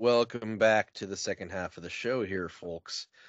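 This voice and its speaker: In a put-on character voice, a man uses a Canadian accent, speaking at a moderate pace in a raspy, medium-pitched voice. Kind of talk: radio-show host style.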